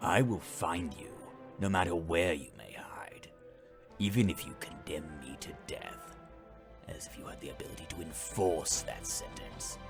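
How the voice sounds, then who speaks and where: A man's whispering, put-on character voice at a moderate pace, over clear music in the background. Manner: menacing, haughty.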